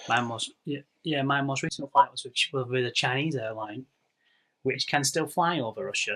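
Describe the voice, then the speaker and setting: A bright, sharp tone with an English accent and ordinary pitch variation. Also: man, fairly high pitch for a man, moderate pace, dry, close sound with no echo. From northwest England. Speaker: podcast co-host. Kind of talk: casual chat.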